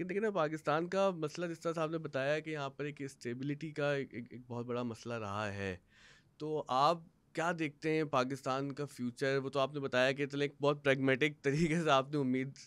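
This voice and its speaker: At a moderate pace, a man talks in a fairly high voice with ordinary pitch variation. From Pakistan. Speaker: podcast host. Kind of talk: interview. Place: studio. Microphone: studio mic.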